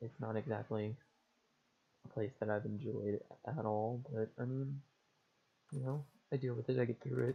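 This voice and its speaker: A man speaks quietly at a medium pitch and a moderate pace. His voice is somewhat breathy, with fairly even intonation. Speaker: gaming youtuber. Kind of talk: casual chat. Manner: monotone. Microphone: headset mic, poor audio quality.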